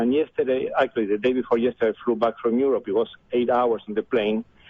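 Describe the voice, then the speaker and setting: A man speaks with an Argentine accent at medium pitch. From Argentina. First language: Spanish. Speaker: caller. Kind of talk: phone call-in.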